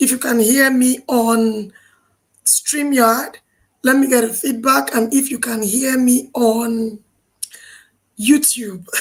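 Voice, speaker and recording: Speaking very slowly with long, frequent pauses, a woman uses a high voice and fairly even intonation. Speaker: parenting coach. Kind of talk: live stream talk. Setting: live stream on Zoom, StreamYard and YouTube.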